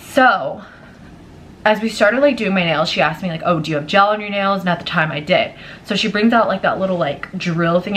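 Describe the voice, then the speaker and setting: A woman talks at a very fast pace, with noticeable background noise throughout. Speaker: vlogger. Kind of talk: storytime vlog. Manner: casual, filler-heavy.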